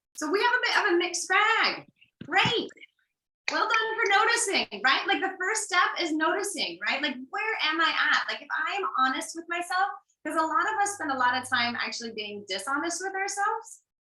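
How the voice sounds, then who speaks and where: In an American accent, a woman projects a raised voice at an extremely high pitch, bright and sharp in tone, with very wide pitch swings at a moderate pace. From US. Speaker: workshop facilitator, family therapy background. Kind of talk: online workshop.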